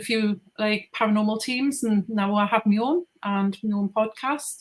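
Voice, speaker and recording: She speaks in a Geordie accent. This woman's pitch is medium and her pace moderate. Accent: Geordie, noticeable. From northeast England (Geordie). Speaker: paranormal investigator and podcaster. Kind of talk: casual interview.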